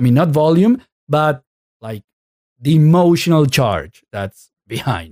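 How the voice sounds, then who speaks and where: In a Spanish accent, a man with a dark, mellow tone speaks at a fairly slow pace with lively intonation, long, frequent pauses and big swings in loudness, in a dry, close sound with no echo. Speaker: podcast host, Spanish teacher. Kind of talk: casual interview conversation. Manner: halting, many false starts.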